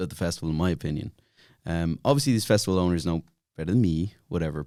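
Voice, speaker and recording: A man with a Dublin accent is heard on a very clean recording with a silent background. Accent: Dublin Irish. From Ireland, Dublin (Glasnevin). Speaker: podcast guest, YouTuber. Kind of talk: casual chat.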